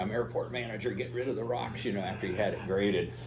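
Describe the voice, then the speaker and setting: A man with an American accent speaks at a very fast pace. There is audible room echo. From US Pacific Northwest, Oregon. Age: 70s. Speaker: pilot and aerobatics instructor. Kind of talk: talk to club audience. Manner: casual, halting with fillers.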